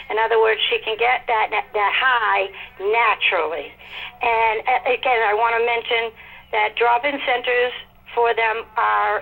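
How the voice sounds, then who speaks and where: A woman's normal speaking voice, fairly high in pitch, at a fairly slow pace with fairly even intonation and very even loudness. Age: 50s. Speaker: caller. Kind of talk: call-in comment.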